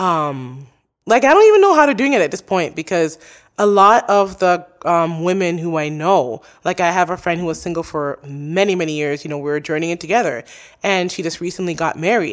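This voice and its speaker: A woman with an unremarkable speaking voice talks at a fairly quick pace, her pitch fairly low with ordinary variation. The recording is very clean with a silent background. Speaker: podcaster. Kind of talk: casual interview chat. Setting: studio.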